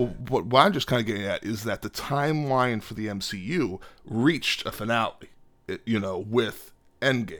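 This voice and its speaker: A man talks in a normal speaking voice at a moderate pace, with a medium pitch and ordinary pitch variation. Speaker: podcast co-host. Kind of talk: casual chat. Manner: playful, jokey.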